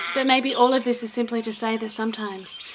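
Against noticeable background noise, a woman talks at a fairly quick pace in an Australian accent, her intonation fairly even. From South Australia. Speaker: spoken word poet. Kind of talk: poetry reading. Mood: solemn, emotional.

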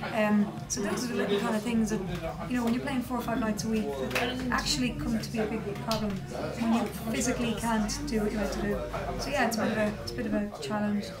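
With clear music in the background, a woman speaks at a very fast pace. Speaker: interviewee. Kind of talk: interview answer. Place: home room.

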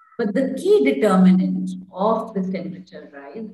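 A woman talks at a moderate pace with audible room echo. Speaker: panelist. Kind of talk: lecture. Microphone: video call.

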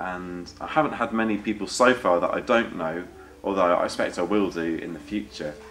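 Light noise sits in the background as a man speaks at a fairly quick pace. His pitch is very deep and low. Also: ordinary pitch variation. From Devon, England. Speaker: folk musician and radio presenter; radio presenter. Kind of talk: interview. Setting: backstage at a folk club. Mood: relaxed, cheerful. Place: empty room.

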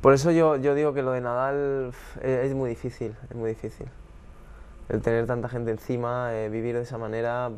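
A man talks at a moderate pace. His intonation is monotone and flat. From Spain, Alicante (San Vicente); Spain. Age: 20s. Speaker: professional tennis player; guest. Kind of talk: casual interview. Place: studio.

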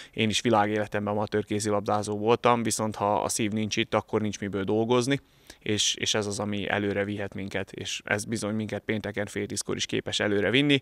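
A man's fairly low, monotone voice with flat intonation, fairly quick with hardly any pauses, in a dry sound with no echo over a quiet background. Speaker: handball coach. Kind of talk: post-match interview. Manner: halting, hesitant. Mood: reflective after a loss. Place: hall.

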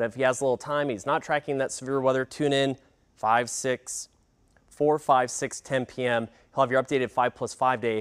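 Against a quiet background, a man is talking. His pace is fairly quick, and his pitch varies in an ordinary way. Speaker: TV meteorologist. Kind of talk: weather report, broadcast forecast. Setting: TV studio broadcast. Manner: brisk, clipped; urgent, animated. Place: studio. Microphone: lapel.

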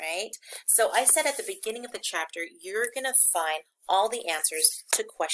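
The clip is plain reading aloud, heard against a quiet background.

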